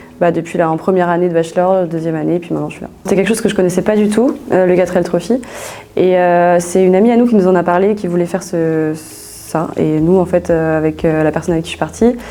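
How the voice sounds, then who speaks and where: With noticeable noise behind her, a woman with a fairly low pitch speaks very fast in fairly even intonation. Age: 20s. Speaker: business school student. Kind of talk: interview. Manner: hesitant, many fillers; casual.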